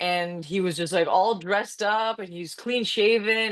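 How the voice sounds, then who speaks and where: A woman's plain, everyday voice, fairly high-pitched, with ordinary pitch variation. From Canada. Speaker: UGC content creator and coach. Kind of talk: casual interview chat. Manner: fast, rambling with false starts.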